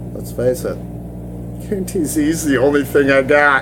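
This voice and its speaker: There is noticeable background noise and audible room echo. A man speaks at a fairly slow pace. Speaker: gaming forum video blogger. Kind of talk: casual vlog talk. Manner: casual, rambling with filler words; stuttering, halting.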